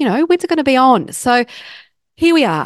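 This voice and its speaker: Lively intonation marks this woman's speech in an Australian accent. The sound is dry and close with no echo, over a quiet background. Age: 40s. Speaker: podcast host, counsellor and coach. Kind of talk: solo podcast talk.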